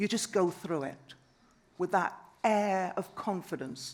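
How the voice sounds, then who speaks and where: With vocal fry, a woman speaks at a fairly slow pace. The recording is very clean, with a silent background. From Trinidad. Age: 70s. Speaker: conference speaker. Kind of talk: panel talk.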